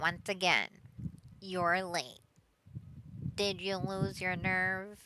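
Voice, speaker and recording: Using a put-on character voice, a woman speaks at a very slow pace. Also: medium pitch for a woman, fairly even intonation. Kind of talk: Discord mom or mod voice. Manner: smug.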